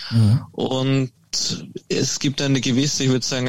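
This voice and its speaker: A man talks in a normal speaking voice. His intonation is fairly even. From Austria. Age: 20s. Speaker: golf company founder. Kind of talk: interview.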